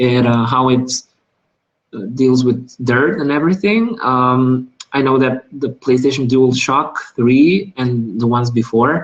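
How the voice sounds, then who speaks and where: With a non-native accent, a man speaks at a fairly slow pace and medium pitch. His loudness is very even and his pitch varies in an ordinary way. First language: not English. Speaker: gaming youtuber. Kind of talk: live unboxing video. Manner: hesitant, many fillers.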